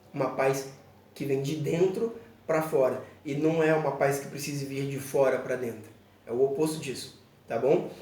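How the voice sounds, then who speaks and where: Delivered at a moderate pace with ordinary pitch variation and long, frequent pauses, the speech carries audible room echo and noticeable background noise. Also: man, fairly high pitch for a man. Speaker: pastor. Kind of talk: bible teaching video. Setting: church children's room, alone.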